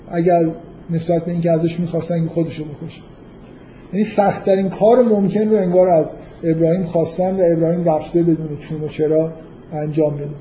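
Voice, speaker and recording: At a very fast pace, a man with a high pitch talks amid audible room echo. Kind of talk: lecture. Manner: halting.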